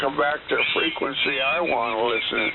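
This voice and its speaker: A man talks at a fairly high pitch. Noticeable background noise and audible room echo fill the recording. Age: 60s. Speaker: amateur radio operator. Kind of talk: casual radio chat. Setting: shortwave radio transmission.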